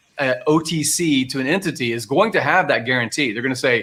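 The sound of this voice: A man speaks at a fast pace with medium pitch, a fairly bright tone, a slightly husky edge and ordinary pitch variation.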